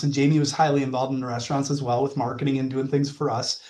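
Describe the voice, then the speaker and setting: A man with a Wisconsin accent. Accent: Wisconsin accent, drawn-out vowels. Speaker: mortgage lending sales manager. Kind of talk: podcast interview.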